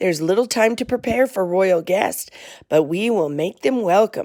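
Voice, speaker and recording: A female-sounding, put-on character voice comes through at medium pitch. It is raspy. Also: moderate pace. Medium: read story. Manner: quiet.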